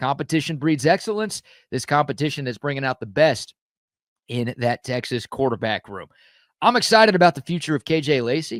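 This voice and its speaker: Loud, raspy shouting in a put-on character voice, fairly quick and lively in intonation. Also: man, fairly high pitch for a man. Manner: loud, yelling.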